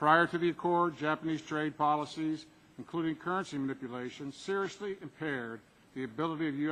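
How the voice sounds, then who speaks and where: This man speaks very fast with a bright, sharp tone. His pitch sits fairly high, and his intonation stays fairly even. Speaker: corporate executive testifying at a hearing. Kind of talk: formal testimony. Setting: congressional hearing room with microphone. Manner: loud; formal.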